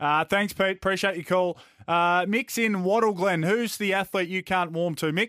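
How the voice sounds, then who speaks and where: A man's high-pitched voice with an Australian accent, bright and sharp in tone, at a moderate pace with fairly even intonation and very even loudness, in a very clean recording with a silent background and dry, close sound with no echo. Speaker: radio sports host. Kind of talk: casual radio banter.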